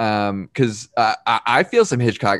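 A man with an American accent, at a moderate pace, with ordinary pitch variation. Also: very clean recording, silent background. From New York. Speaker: podcast host. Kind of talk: casual chat.

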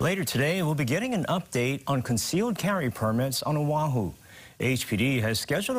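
Somewhat breathy and fairly high-pitched, a man talks at a moderate pace with lively intonation. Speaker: news anchor. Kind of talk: news reading. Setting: studio.

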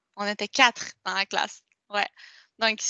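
A woman is the speaker. She talks at a fairly high pitch. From Quebec, Montreal. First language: Spanish (speaking French). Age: 20s. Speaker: interviewee sharing life story. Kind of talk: testimony. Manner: halting, many repetitions and fillers.

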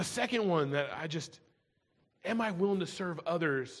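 Lively intonation from a man at a fairly high pitch and moderate pace, with audible room echo. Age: 40s. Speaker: pastor. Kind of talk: sermon.

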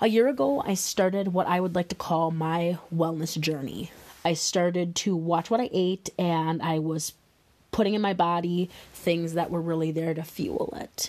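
With an American accent, a woman has an ordinary speaking voice, fairly low in pitch, with ordinary pitch variation and a moderate pace. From Wisconsin, US Midwest. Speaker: podcast host, wellness coach. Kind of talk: solo podcast monologue.

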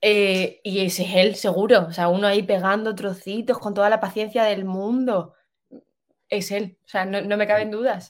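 Her intonation monotone and flat, a woman speaks at a medium pitch. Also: moderate pace. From Spain, Extremadura. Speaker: architect. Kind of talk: casual chat.

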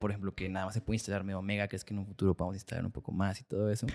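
The voice belongs to a man, fairly low in pitch with a dark, mellow tone. It sounds dry and close with no echo, and the recording is very clean, with a silent background. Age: 20s. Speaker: podcast host. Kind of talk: interview conversation.

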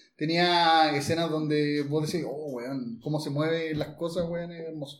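A man speaks at a fairly high pitch in a room with audible echo. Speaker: podcast host. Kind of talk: casual chat. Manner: animated.

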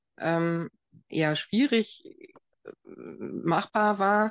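A woman's voice with ordinary pitch variation. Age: 40s. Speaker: physician. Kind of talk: expert interview. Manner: halting, many fillers.

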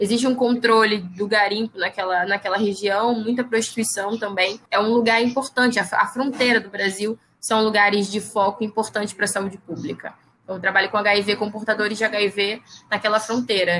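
The voice is a woman's, an unremarkable speaking voice. It sits at a medium pitch with fairly even intonation. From Brazil, Baixada Fluminense, Rio de Janeiro. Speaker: biologist and researcher. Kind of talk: interview.

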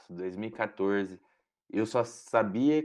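A plain, everyday voice from a man of medium pitch, with ordinary pitch variation and a quiet background. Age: 20s. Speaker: medical student. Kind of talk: casual interview.

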